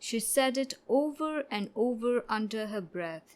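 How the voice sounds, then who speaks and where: A soft-spoken woman with a gentle tone, very wide pitch swings and a very slow pace. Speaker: audiobook narrator. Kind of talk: audiobook short story reading. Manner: soft, gentle narration.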